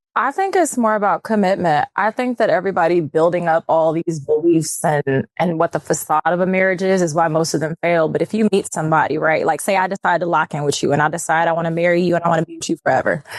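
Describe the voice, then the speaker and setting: With an American accent, the speaker goes very fast with hardly any pauses and ordinary pitch variation. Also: woman. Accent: country-sounding. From Texas. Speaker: model. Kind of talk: casual chat.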